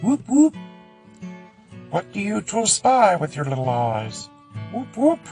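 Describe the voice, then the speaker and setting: Over clear music in the background, a put-on character voice at a middle pitch speaks at a fairly slow pace. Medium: read story. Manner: bouncy, friendly.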